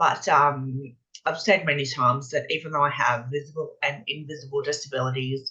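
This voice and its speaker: Bright and sharp in tone, the voice with an Australian accent moves at a moderate pace with fairly even intonation. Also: woman. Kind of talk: interview. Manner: halting, with frequent repetitions.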